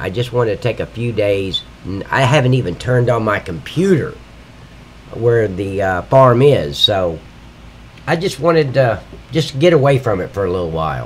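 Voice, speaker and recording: Very wide pitch swings at a moderate pace, with long, frequent pauses and noticeable background noise. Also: man, medium pitch for a man. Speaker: livestreaming game modder. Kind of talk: live stream tutorial. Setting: live stream at computer. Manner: casual, rambling with fillers.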